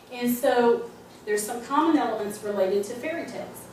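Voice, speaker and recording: Amid noticeable background noise and audible room echo, a woman with an American accent speaks at a moderate pace. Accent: North Georgia accent, returning. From US South, North Georgia. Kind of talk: speech to audience. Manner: frequent filler words and restarts.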